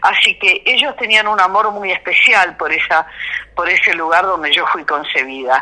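Over noticeable background noise, a woman with lively intonation speaks at a medium pitch and moderate pace. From Argentina, Mendoza (Cuyo). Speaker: folk singer. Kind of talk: interview.

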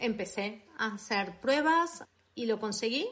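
A woman at a very slow pace with ordinary pitch variation. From Argentina, Buenos Aires. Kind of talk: interview. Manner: hesitant, many fillers.

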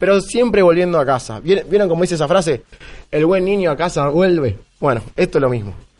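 This man's pitch is high and his pace fairly quick. His intonation is lively. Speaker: security professional. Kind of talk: live podcast conversation. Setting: live recording at a security conference.

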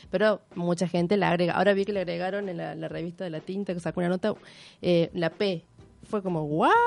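Rattling along at a very fast pace, a woman speaks in a fairly low pitch with monotone, flat intonation. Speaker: feminist activist. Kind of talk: radio interview. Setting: radio studio.

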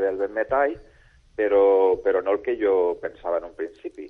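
A man speaks at a moderate pace. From Valencia region, Spain. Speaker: trumpet teacher. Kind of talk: interview.

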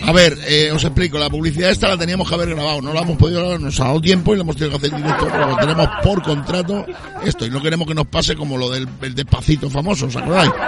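Through noticeable background noise comes a very fast, animated voice with ordinary pitch variation. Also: man, fairly high pitch for a man. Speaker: radio host. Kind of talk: casual chat. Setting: outdoors.

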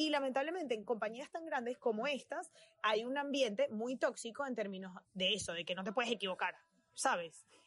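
A woman speaks with a Venezuelan accent. Her pitch is high and her pace fairly quick. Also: lively intonation. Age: 20s. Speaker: fashion designer. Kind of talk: casual chat.

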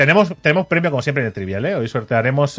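A man speaks with lively intonation. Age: 30s. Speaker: video game podcast host. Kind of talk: casual chat. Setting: live stream.

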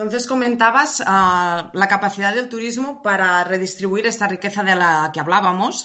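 In a Spanish accent, a woman with a medium pitch speaks at a moderate pace with ordinary pitch variation and hardly any pauses. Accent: Peninsular Spanish. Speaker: radio host. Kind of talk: interview.

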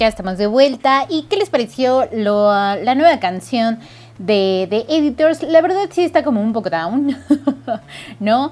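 A woman with a fairly high voice speaks at a fairly slow pace, her pitch swinging very widely. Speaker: radio host. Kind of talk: casual chat.

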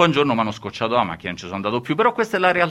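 Pitch swings very widely here. The tone is bright and sharp. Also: man. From central Italy, Lazio (Rome area). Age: middle-aged. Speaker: radio host. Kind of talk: radio show chat.

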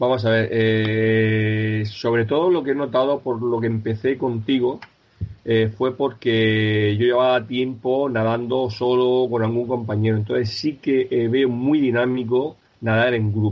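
The intonation is monotone and flat. Loudness stays very even throughout. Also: man, medium pitch for a man. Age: 50s. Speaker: para-triathlete, pharmacy sales rep. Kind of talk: interview.

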